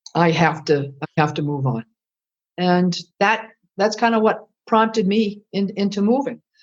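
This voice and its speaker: A woman's medium-pitched voice with an American accent and lively intonation. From Massachusetts, New England. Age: 60s. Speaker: retired culinary instructor and chef. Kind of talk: podcast interview. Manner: halting, frequent repetitions.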